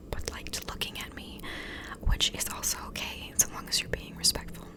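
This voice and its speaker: A woman whispers over noticeable background noise. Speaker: ASMR creator. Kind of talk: casual talk to camera. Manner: soft-spoken, whispered.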